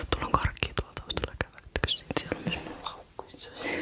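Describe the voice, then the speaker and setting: Whispering over noticeable background noise. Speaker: ASMR creator. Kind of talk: casual talk to camera. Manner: whispered.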